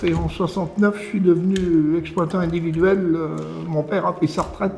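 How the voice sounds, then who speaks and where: Over music in the background, a man talks at a high pitch in a monotone, flat intonation. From France, Beauce. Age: 80s+. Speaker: retired farmer. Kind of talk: testimony. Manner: halting.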